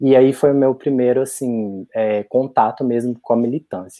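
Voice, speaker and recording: The speaker is a man with a plain, everyday voice at a medium pitch. He talks at a moderate pace with fairly even intonation. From Brazil, interior of Minas Gerais. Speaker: HIV youth activist. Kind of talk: casual chat.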